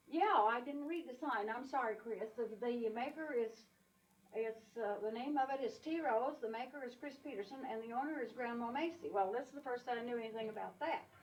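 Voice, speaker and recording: A high-pitched woman's voice against noticeable background noise. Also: ordinary pitch variation, fairly quick pace. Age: 80s+. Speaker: elderly quilter showing family pictures. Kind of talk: home video tour narration. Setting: quilt show. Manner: halting, many fillers.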